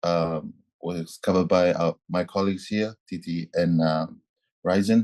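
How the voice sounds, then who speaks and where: A man speaks with a Tuvaluan accent at a fairly slow pace, his voice very deep and low with a dark, mellow tone. His intonation is flat and monotone against a quiet background. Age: 20s. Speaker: youth climate activist. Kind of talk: panel statement. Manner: halting, repeats words.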